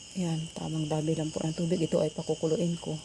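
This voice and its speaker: This woman's voice sits at a fairly low pitch. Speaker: cooking vlogger. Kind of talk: casual vlog narration.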